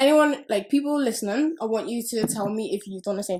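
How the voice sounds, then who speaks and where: In a Liverpool accent, a woman talks at a very fast pace with an animated tone and lively intonation. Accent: Scouse. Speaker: podcast co-host. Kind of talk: casual chat.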